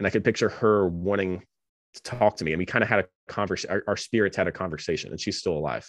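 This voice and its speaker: Recorded dry and close with no echo over a quiet background, a man with an American accent speaks in a very deep, low pitch with vocal fry. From US South, North Carolina. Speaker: divinity student and former podcaster. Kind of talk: interview conversation.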